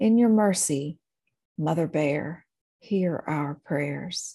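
A woman speaks at a very slow pace with a dark, mellow tone that is somewhat breathy. Her delivery is intense and solemn, with ordinary pitch variation over a quiet background. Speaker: podcast host and minister. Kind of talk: fervent pastoral prayer, spoken as a lament and litany. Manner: intense, solemn, pleading, with emotional fervor; slow, rhythmic and cadenced, like a litany.

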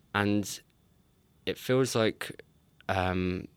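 The speaker is a man. He has an English accent. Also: very clean recording, silent background. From England. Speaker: PhD student. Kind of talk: interview.

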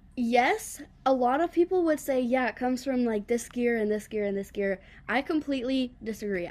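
On a very clean recording with a silent background, a woman uses a normal speaking voice at a moderate pace with ordinary pitch variation. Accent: American. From US South. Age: 20s. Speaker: bass player and singer. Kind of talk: interview.

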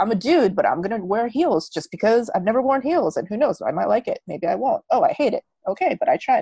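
With an American accent and vocal fry, a woman speaks at a very fast pace in a fairly high pitch, with very wide pitch swings and an animated tone in a dry, close sound with no echo. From United States. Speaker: magic practitioner and content creator. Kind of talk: casual interview.

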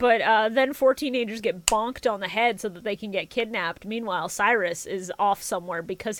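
A woman speaks in a plain, everyday voice at a moderate pace. Her pitch is fairly high, with ordinary pitch variation. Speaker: podcast host. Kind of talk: casual chat.

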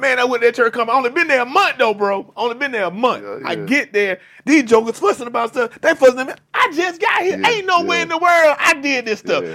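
A man speaks at an extremely high pitch in a raised, projected voice, very fast with hardly any pauses. His tone is bright, sharp and animated, with lively intonation. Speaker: podcast host and pastor. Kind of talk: casual chat. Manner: animated, informal.

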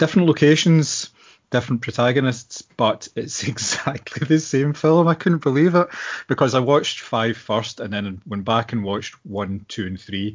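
A man speaks with a Scottish accent. His pitch is medium and his pace moderate. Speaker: podcast co-host. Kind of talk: casual chat.

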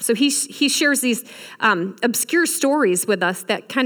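A woman with a Midwestern American accent speaks at a moderate pace in an animated tone with lively intonation. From Michigan. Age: 40s. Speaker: guest preacher. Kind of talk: sermon.

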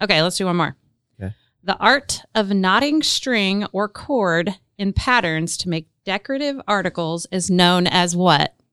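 A normal speaking voice from a woman at medium pitch, fairly slow and with lively intonation, on a very clean recording with a silent background. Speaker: podcast co-host. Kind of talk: casual chat.

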